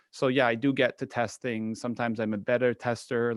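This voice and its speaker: A man with an American accent talks at a fairly quick pace, the sound dry and close with no echo. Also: quiet background. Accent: picked up American. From Spain. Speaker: photography YouTuber. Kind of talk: casual panel chat.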